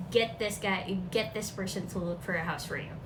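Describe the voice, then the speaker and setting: With a Filipino accent, a woman talks at a fairly slow pace with ordinary pitch variation. Noticeable background noise and audible room echo fill the recording. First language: Filipino language. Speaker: vlogger. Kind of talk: casual talk to camera. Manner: casual, chatty.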